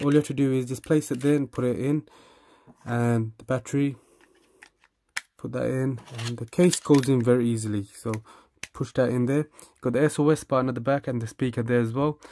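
This man talks at a fairly quick pace with medium pitch and a dark, mellow tone. His intonation stays fairly even.

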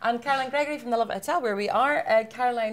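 In a Scottish accent, a woman speaks at a fairly high pitch with a cheerful tone and ordinary pitch variation. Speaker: webinar host. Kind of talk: hosted webinar panel discussion. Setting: live-streamed webinar. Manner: cheerful, laughs often.

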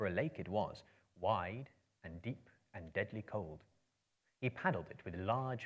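The background stays quiet while an unforced reading voice carries the text.

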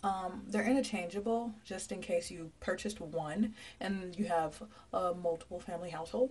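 A woman's somewhat breathy voice with ordinary pitch variation. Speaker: vlogger. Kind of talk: casual vlog chat. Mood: playful, relaxed. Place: bathroom. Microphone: phone near.

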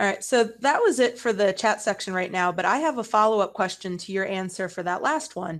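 A woman's fairly quick speech, with ordinary pitch variation, comes over a quiet background. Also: hardly any pauses. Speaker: education consultant, chat moderator; chat moderator. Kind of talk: webinar moderation. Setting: video call. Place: home room. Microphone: headset.

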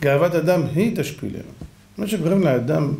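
With audible room echo and light background noise, a somewhat breathy man with a dark, mellow tone talks at a fairly slow pace and ordinary pitch variation. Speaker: religious teacher. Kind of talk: sermon.

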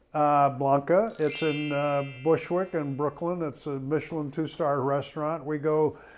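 A man speaks at a moderate pace in a fairly high pitch, with fairly even intonation and faint music in the background. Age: 80s+. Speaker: interviewee, sales teacher; interviewee. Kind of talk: casual interview. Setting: at his home. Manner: hesitant, many fillers. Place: home room. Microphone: lapel.

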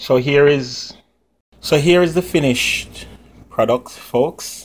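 A man with a Jamaican accent, at a very slow pace, with ordinary pitch variation. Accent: Jamaican, with patois features. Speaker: cooking channel host and comedian. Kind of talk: cooking tutorial. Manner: casual, chatty. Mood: cheerful, friendly. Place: kitchen. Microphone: phone near.

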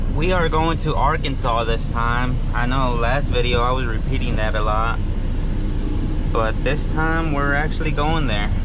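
The speech moves at a moderate pace. Loud background noise sits behind a dry sound with no echo. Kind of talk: casual vlog chat. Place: car. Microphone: phone near.

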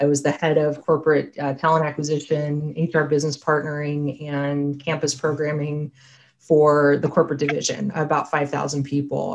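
A woman speaks with an American accent at a moderate pace. Her pitch is very deep and low. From US, Pittsburgh, Pennsylvania. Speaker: HR consultant; conference presenter. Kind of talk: conference talk. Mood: warm, friendly. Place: home room. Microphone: webcam.

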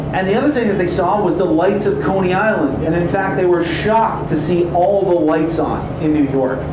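A man at a moderate pace with ordinary pitch variation, amid noticeable background noise and audible room echo. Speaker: tour guide. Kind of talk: guided history tour narration. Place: boat.

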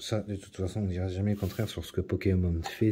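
Over light background noise, a man speaks in a fairly low pitch with a dark, mellow tone and a somewhat breathy quality. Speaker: YouTuber opening trading card packs. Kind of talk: casual unboxing video monologue. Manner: hesitant, many fillers and repetitions; low-energy, trying to sound livelier. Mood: enthusiastic, mildly wry. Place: home room. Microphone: phone near.

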